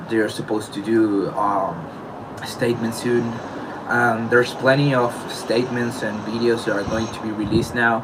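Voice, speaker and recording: This man speaks with a non-native accent at a medium pitch, his intonation monotone and flat. Audible room echo and noticeable background noise come through. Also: moderate pace. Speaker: beatboxer. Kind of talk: personal statement addressing allegations. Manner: halting.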